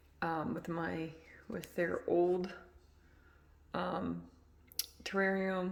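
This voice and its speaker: A soft-spoken woman talks at a fairly low pitch and a very slow pace in monotone, flat intonation, with long, frequent pauses and audible room echo. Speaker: reptile hobbyist vlogger. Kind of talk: casual tutorial. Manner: soft, low volume; hesitant, many fillers.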